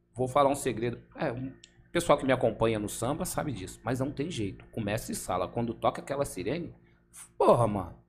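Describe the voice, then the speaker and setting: A man with a medium pitch talks at a fairly quick pace, using lively intonation and some vocal fry. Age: 50s. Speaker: samba dancer and football referee. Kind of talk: casual chat. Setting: studio.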